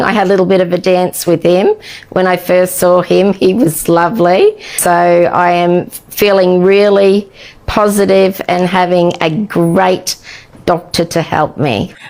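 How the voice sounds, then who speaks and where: A woman with an Australian accent speaks at a fairly slow pace and medium pitch, her intonation monotone and flat. Her loudness stays very even over noticeable background noise. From Australia, central Queensland. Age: 60s. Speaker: cosmetic surgery patient. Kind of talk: testimony.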